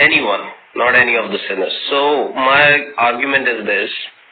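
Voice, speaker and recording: At a moderate pace and with fairly even intonation, the voice comes through noticeable background noise and audible room echo. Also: man. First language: not English. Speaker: caller asking questions. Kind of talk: live debate. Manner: halting, many fillers.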